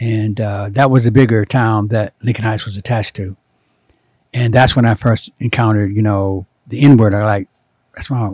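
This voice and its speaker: Speaking with an American accent, a man uses a fairly low, somewhat breathy voice and fairly even intonation, captured dry and close with no echo. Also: moderate pace. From US Midwest, Cincinnati, Ohio. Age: 70s. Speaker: former doctor, spiritual guide to artists. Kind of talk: interview, personal life story.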